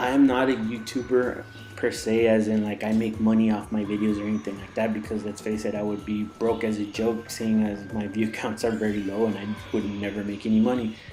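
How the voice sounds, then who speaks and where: A man with an American accent, fairly quick pace and monotone, flat intonation, with audible room echo and music in the background. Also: fairly low pitch for a man. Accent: Mexican American. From Texas, Mexican American. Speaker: gaming YouTuber. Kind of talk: gameplay commentary. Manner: casual, rambling with fillers.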